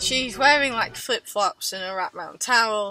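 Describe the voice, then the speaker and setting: With an English accent and ordinary pitch variation, the speaker goes at a fairly slow pace while music plays in the background. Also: woman. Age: 20s. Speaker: travel vlogger. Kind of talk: story time to camera. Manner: high pitched when embarrassed.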